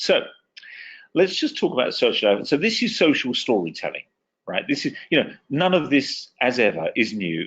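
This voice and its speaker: Over a quiet background, a man with an English accent speaks at a fairly quick pace. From England. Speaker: communications consultant, former TV and radio reporter. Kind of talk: webinar presentation. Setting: online webinar.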